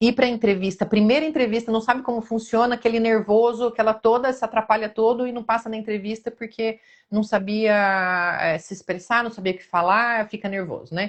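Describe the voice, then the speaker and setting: A woman with a Brazilian accent talks at a fairly quick pace with hardly any pauses and fairly even intonation. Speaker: nursing career mentor. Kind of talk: live-stream interview chat.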